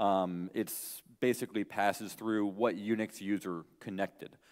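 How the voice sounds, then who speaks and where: With a quiet background behind him, a male speaker keeps a moderate pace. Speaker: conference speaker. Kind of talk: lecture. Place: hall.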